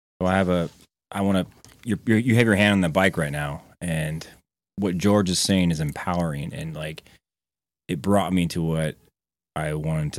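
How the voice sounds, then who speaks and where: A man speaks with a very deep, low pitch and ordinary pitch variation. The recording is very clean, with a silent background. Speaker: podcast guest. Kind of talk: casual chat. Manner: fast.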